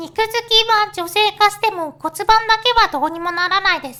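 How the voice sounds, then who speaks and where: Raising and projecting her voice, a woman speaks with a bright, sharp tone and ordinary pitch variation. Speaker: virtual YouTuber. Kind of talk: casual talk to camera. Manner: hesitant, stammering.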